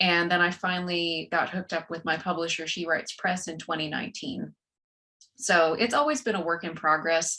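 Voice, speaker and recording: A woman with a Texan accent talks at a fairly quick pace in a fairly low pitch. Her tone is bright and sharp, with ordinary pitch variation. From West Texas, rural. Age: 40s. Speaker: author and corporate trainer. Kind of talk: podcast interview.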